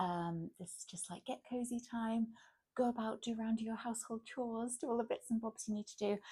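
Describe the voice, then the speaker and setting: A soft-spoken woman talks at a fairly quick pace with a gentle tone and a somewhat breathy quality. Her voice sits fairly high, with ordinary pitch variation. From England. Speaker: ASMR content creator and mother. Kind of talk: ASMR shopping chat to camera. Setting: quiet room at home, late at night. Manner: gentle, soft-spoken, rambling.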